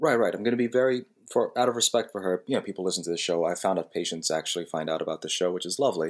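This man has a very deep, low pitch and an American accent. He talks at a very fast pace with lively intonation. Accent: New Jersey, consciously toned down. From New Jersey, Jersey City. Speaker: osteopathic physician podcast co-host. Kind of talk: casual chat.

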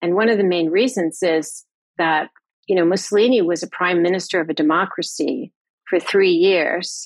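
With an American accent and a normal speaking voice, a woman talks at a medium pitch and a moderate pace, keeping very even loudness and ordinary pitch variation. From US West Coast, California. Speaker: historian. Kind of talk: interview.

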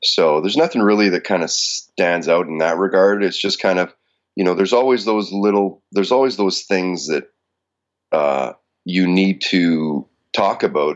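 A man speaks with a very deep, low pitch. His pace is moderate and his pitch varies in an ordinary way. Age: 40s. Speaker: radio host. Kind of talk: casual interview. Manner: forward, confident.

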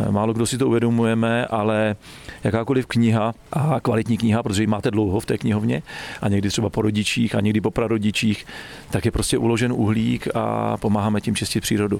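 A man's fairly low voice with very even loudness and fairly even intonation, over noticeable background noise. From Czechia, Trutnov (Krkonoše region). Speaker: forestry school director. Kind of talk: interview on a forest walk. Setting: outdoors in a forest.

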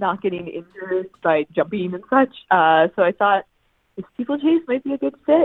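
A woman with an ordinary speaking voice and medium pitch talks at a moderate pace with lively intonation. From Newfoundland, Canada (St. John's). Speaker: university steeplechase runner. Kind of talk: interview. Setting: hotel room.

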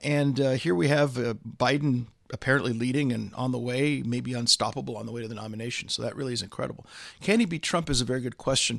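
A man with an American accent at a very fast pace, on a very clean recording with a silent background. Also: medium pitch for a man, ordinary pitch variation. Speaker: political commentator. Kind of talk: political discussion interview. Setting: studio office in London. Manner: hesitant fillers.

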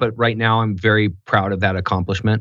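A man with an American accent speaks at medium pitch. His intonation is fairly even, and the background is quiet. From Southern California. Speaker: former pro football player, business manager. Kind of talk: casual interview. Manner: halting.

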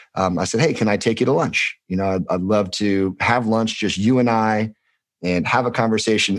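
Against a quiet background, a man with an American accent speaks at a fairly low pitch. He keeps a fairly quick pace and fairly even intonation. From Los Angeles, US. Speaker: former insurance worker. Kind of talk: casual chat.

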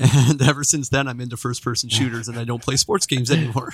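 The speaker has a western Canadian accent and ordinary pitch variation. The sound is dry and close with no echo, on a very clean recording with a silent background. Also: man. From Canada, Vancouver Island. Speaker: gaming streamer. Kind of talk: casual chat.

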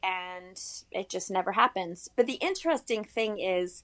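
A woman speaks with an ordinary speaking voice. Her pace is fairly slow and her pitch varies in an ordinary way. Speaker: freelance writer. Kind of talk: interview.

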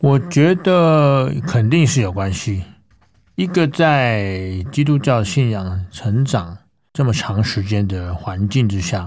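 Lively in intonation, a man with a fairly low pitch speaks in a very clean recording with a silent background. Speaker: classical singer. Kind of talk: interview testimony. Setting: studio.

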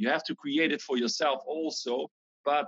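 A man with a Dutch accent, talking at a moderate pace. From Netherlands. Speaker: breathwork teacher. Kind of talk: interview.

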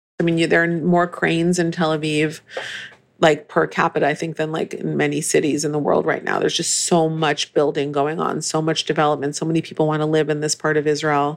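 With an American accent, a woman speaks at a very deep, low pitch and a fairly quick pace. Her intonation stays monotone and flat. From Northern California. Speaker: cookbook author. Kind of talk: casual interview.

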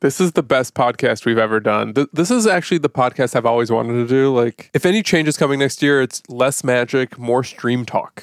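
A man with a normal speaking voice, medium pitch, very even loudness and hardly any pauses. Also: ordinary pitch variation, dry, close sound with no echo. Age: 30s. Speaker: podcast host. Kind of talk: scripted outro; casual chat. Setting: remote call.

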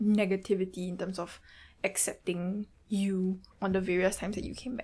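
A woman speaks with a Singaporean accent at a moderate pace. Her voice is somewhat breathy, with monotone, flat intonation. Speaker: podcast host and producer. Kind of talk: podcast hosting, intro and outro.

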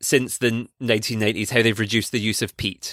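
Recorded very cleanly with a silent background, the sound is dry and close with no echo. A man speaks at medium pitch and a fairly quick pace. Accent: Scottish. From Scotland. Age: 20s. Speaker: PhD student and conservation podcaster. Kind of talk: casual interview chat. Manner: animated.

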